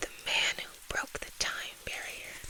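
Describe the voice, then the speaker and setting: Whispering very slowly, someone speaks over noticeable background noise. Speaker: ASMR creator. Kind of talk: casual ASMR talk to camera. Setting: close to the microphone. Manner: soft-spoken.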